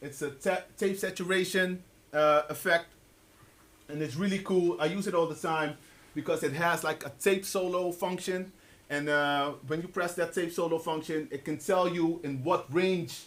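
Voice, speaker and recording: The pace of this man's speech is moderate. His voice is high in pitch. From Netherlands. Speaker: software product specialist and rapper. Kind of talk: live workshop demonstration. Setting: music store with live audience. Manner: casual, animated.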